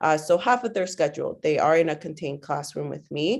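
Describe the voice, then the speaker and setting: A woman speaks in a Spanish accent. The recording is very clean, with a silent background. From Guatemala, came to US at seven. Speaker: teacher. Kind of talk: interview. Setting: podcast. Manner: hesitant, many fillers.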